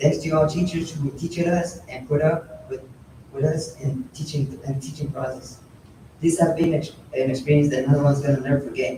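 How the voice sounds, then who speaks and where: Through noticeable background noise, a man speaks at a moderate pace with a fairly high pitch and fairly even intonation. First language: Spanish. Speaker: apprentice graduate. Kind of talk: graduation speech.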